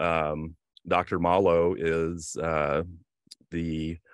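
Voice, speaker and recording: In a Southern US accent, a man speaks at a very deep, low pitch, recorded dry with no echo against a quiet background. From US South. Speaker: bar association organizer. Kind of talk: webinar introduction. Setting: video call. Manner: halting. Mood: friendly, upbeat. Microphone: video call.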